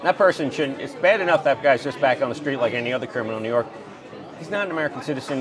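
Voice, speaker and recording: A man talks at a very fast pace with a fairly high pitch and lively intonation. Crowd noise and audible room echo fill the background. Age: 60s. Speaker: congressional candidate. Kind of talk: casual political interview. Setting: diner.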